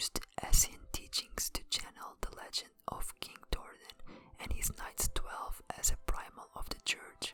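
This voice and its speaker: Someone whispers at a fairly slow pace with a non-native accent. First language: not English. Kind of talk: ASMR lore narration. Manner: whispered.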